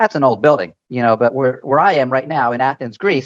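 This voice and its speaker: A man with an American accent speaks in a plain, everyday voice at a fairly high pitch. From United States. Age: 60s. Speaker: travel blogger and consultant. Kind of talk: podcast interview.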